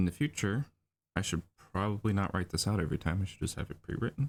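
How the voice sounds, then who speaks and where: A man mumbles his words. His intonation is lively. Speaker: storyboard artist streaming drawing session. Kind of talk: livestream tutorial while drawing. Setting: livestream at home computer. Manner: mumbling; hesitant, many fillers.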